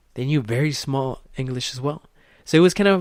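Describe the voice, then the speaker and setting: A man speaks with a Spanish accent at a moderate pace. The recording is very clean, with a silent background. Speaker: podcast host. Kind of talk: motivational podcast monologue. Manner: animated.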